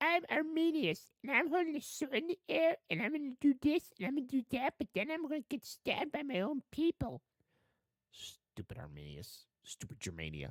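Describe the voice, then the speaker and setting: Someone in a put-on character voice speaks at a high pitch and a moderate pace. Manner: mocking, sarcastic, exaggerated.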